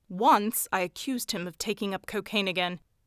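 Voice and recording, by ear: Here someone is reading aloud in a natural voice.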